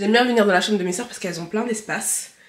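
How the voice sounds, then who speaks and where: Very fast female speech at a medium pitch, with typical pitch movement and noticeable background noise. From France, of Malian heritage. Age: 20s. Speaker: lifestyle vlogger. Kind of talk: casual talk to camera.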